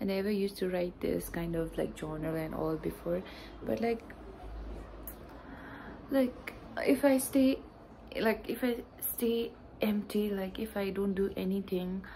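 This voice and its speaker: Through light background noise, a woman with a somewhat breathy, dark, mellow tone speaks at a fairly slow pace, with ordinary pitch variation and long, frequent pauses. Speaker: vlogger. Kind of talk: casual vlog chat. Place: home room. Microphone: phone near.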